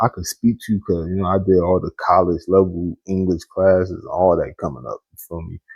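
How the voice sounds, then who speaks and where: Somewhat breathy, a man speaks in a very deep, low pitch. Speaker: YouTuber commenting on news. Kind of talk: casual commentary monologue. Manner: casual with filler and pauses.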